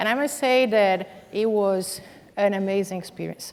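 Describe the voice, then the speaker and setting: A woman at a moderate pace, medium in pitch, with a Brazilian accent. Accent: foreign accent (Brazilian). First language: Portuguese. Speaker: corporate executive, panelist. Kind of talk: panel discussion. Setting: stage with audience.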